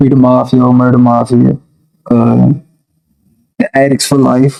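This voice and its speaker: A soft-spoken man talks at a fairly slow pace. His loudness stays very even. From Washington DC, Southside. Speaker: rapper. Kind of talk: interview.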